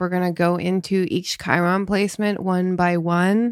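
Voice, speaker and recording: A woman's medium-pitched, ordinary speaking voice at a moderate pace, in a very clean recording with a silent background. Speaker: psycho-spiritual coach and podcast co-host. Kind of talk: casual conversational podcast discussion. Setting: studio podcast.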